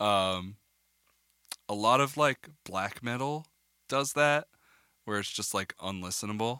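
Pausing long and often, a man speaks at a medium pitch with ordinary pitch variation. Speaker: podcast co-host, audio engineer. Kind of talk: casual banter with explanation. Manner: laid-back, joking.

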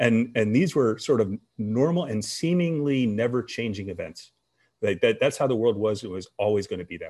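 Against a quiet background, a man with an American accent talks at a moderate pace and medium pitch in an ordinary speaking voice, with lively intonation. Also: big swings in loudness. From US, army brat. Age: 50s. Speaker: former national security official. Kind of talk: interview.

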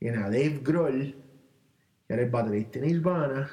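Audible room echo surrounds a man speaking at a moderate pace, his fairly high pitch carrying lively intonation. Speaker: podcast co-host. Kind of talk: casual chat. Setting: home recording, same room.

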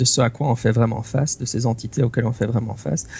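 A man talks in a medium pitch with ordinary pitch variation and vocal fry. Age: 30s. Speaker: tabletop role-playing game master and podcaster. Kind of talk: casual chat. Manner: halting, many repetitions.

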